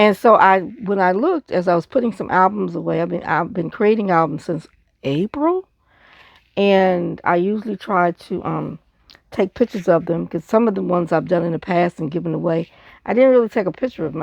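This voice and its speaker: A woman with a fairly low pitch and vocal fry talks at a fairly quick pace with ordinary pitch variation, the sound dry and close with no echo against a quiet background. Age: 60s. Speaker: scrapbooker, craft video maker. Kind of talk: casual craft show-and-tell. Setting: home craft desk with audiobook playing.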